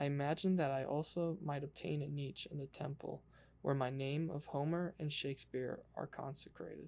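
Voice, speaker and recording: Soft-spoken delivery at a moderate pace. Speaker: ASMR creator. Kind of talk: ASMR book reading.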